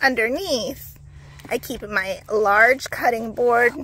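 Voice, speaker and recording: The woman's voice has ordinary pitch variation and a dry sound with no echo. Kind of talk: casual tour tutorial. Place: car. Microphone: phone near.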